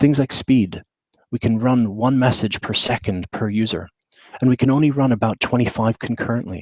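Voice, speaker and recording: A man with a British accent, medium pitch and ordinary pitch variation, at a moderate pace in a dry, close sound with no echo. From UK. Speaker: tech consultant and trainer. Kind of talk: webinar presentation. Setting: video call with screen share. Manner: casual with frequent fillers.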